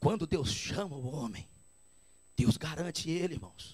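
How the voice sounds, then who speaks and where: The voice carries a clear vocal fry. Its pitch swings very widely up and down. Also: man. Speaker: evangelist preacher. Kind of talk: sermon. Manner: animated.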